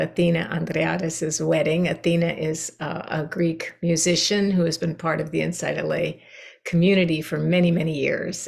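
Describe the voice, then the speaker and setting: This woman has a fairly low pitch and vocal fry, talking at a moderate pace with monotone, flat intonation. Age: 70s. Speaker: meditation teacher. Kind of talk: dharma talk to meditation group. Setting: video call. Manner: conversational, with many fillers.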